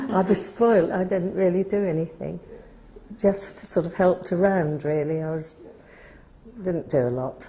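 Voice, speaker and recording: Noticeable background noise surrounds a woman speaking at a moderate pace and a medium pitch with ordinary pitch variation. She leaves long, frequent pauses. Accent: Norfolk. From Norfolk, England. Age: 80s+. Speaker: village resident interviewed for local history. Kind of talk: oral history interview.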